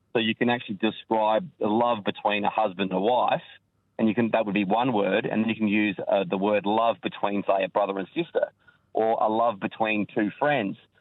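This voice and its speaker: A man with an Australian accent speaks quite quickly at a fairly low pitch. His intonation is fairly even and his loudness very even. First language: Maltese (learned alongside English). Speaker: caller, electrician. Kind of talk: radio call-in.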